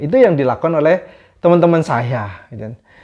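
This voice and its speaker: Here a man speaks with a slight Javanese accent. His pitch sits fairly high. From Java, Indonesia. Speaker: vlogger. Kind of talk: casual storytelling monologue. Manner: casual.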